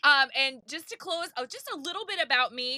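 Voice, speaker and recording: A raised, projected, high-pitched voice from a woman, animated in tone with lively intonation, at a fairly quick pace, in dry, close sound without echo. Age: 40s. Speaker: podcast host, live-selling coach. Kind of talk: podcast monologue. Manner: loud.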